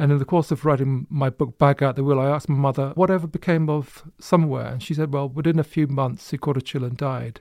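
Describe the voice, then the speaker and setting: A man with a Bedfordshire accent, fairly high-pitched for a man, at a very fast pace, in a dry, close sound with no echo. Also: fairly even intonation. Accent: English, Luton. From Luton, England. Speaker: author. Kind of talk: panel interview.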